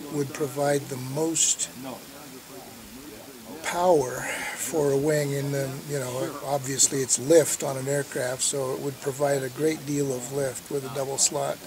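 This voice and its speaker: Noticeable background noise sits behind a man speaking fairly slowly in a monotone, flat voice, the sound dry with no echo. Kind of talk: interview answer. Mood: relaxed, amused. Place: open country.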